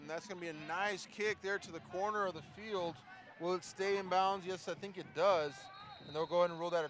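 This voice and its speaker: Over noticeable background noise, a man talks at a very fast pace in a high pitch, his loudness swinging widely. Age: 30s. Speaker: football play-by-play commentator. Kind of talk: live sports commentary.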